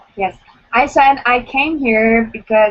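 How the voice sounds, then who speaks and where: Speaking at a fairly slow pace, a woman with a Romanian accent uses a fairly high pitch. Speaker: blind date participant. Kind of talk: casual chat.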